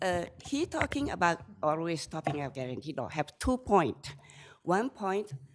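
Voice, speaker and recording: This woman has a fairly low voice with very wide pitch swings and a non-native accent. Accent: non-native English, limited. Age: 70s. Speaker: self-represented appellant. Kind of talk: appellate court argument. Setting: courtroom. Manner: slow.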